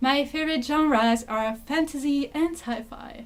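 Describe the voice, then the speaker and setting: A woman speaks with a non-native accent. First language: not English. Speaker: booktuber. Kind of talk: casual talk to camera.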